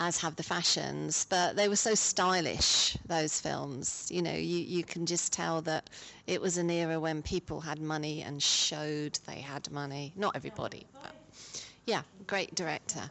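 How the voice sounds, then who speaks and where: Her voice sits fairly low in pitch, with vocal fry. The woman keeps a fairly even intonation at a moderate pace. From Cambridgeshire, Ely. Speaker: hospital patient. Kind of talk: recorded interview.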